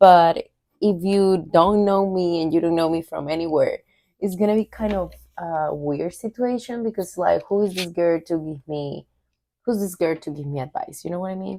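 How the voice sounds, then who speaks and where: A woman with a Spanish accent speaks at a moderate pace in a fairly low pitch with ordinary pitch variation and a dark, mellow tone, the sound dry and close with no echo on a very clean recording with a silent background. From Venezuela. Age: 20s. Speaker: vlogger. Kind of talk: casual vlog talk.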